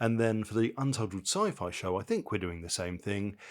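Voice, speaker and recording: A quiet man with an English accent speaks at a fairly low pitch with lively intonation. The recording is very clean and the background silent. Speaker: podcast host. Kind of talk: casual chat. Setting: kitchen at night.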